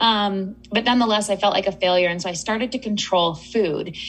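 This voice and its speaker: A woman with an ordinary speaking voice talks at a moderate pace. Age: 30s. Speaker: eating psychology coach. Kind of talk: interview.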